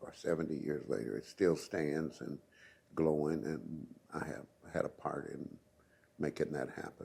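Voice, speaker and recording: A dark, mellow voice with an American accent carries vocal fry. Long, frequent pauses break up the speech. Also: man, very deep, low pitch for a man, ordinary pitch variation, moderate pace. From US Midwest, Columbia, Missouri. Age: 80s+. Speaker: retired community activist. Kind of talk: oral history interview. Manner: halting.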